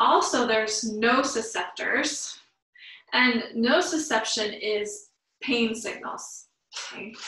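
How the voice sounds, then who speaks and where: Very slow woman's speech, fairly high in pitch with ordinary pitch variation, a quiet background and audible room echo. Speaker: yoga teacher. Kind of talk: guided yoga class. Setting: online live class. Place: home room. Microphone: camera far.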